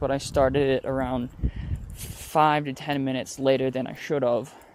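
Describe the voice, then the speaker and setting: A man with an American accent talks at a moderate pace. Background noise is noticeable. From New York State, Rochester. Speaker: vlogger. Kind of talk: walking vlog narration. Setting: outdoors walking street. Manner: casual, rambling with fillers.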